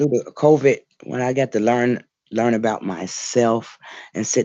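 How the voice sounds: The background is quiet. A natural reading voice carries fairly even intonation.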